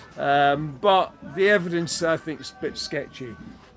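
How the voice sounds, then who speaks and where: With music in the background, a man with a fairly high pitch talks at a fairly slow pace. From Scotland. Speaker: hurdy-gurdy player at a historical festival. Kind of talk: casual interview explaining an instrument.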